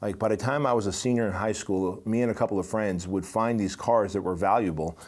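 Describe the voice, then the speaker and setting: Captured on a very clean recording with a silent background, a man with an American accent speaks at a fairly low pitch with ordinary pitch variation. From immigrant to US at age six. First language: not English. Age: 40s. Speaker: business podcast host. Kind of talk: motivational monologue. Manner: casual, conversational.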